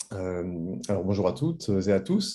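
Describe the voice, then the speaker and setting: A man is speaking. His tone is dark and mellow. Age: 40s. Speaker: social entrepreneur. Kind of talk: presentation. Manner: hesitant, many fillers.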